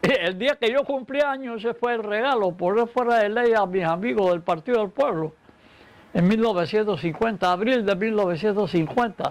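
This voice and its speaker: A man speaks in a high voice with lively, bouncing intonation. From Panama. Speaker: poet and historian. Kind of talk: interview.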